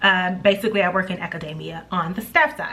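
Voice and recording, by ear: A fast-talking woman with a fairly low pitch, lively intonation, a bright, sharp tone and audible room echo.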